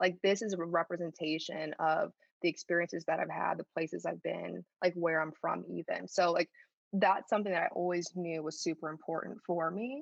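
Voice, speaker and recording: Speaking at a fairly quick pace with an American accent and vocal fry, the voice keeps a fairly even intonation against a quiet background, with a dry, close sound and no echo. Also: woman, fairly low pitch for a woman. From US Midwest, Chicago suburbs. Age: 30s. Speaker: sales manager and podcast guest. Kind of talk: casual interview conversation.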